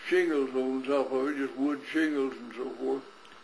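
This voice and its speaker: A man speaks with a West Texas accent. His pitch is fairly high. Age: 80s+. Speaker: farmer and rancher. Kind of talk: personal recollection.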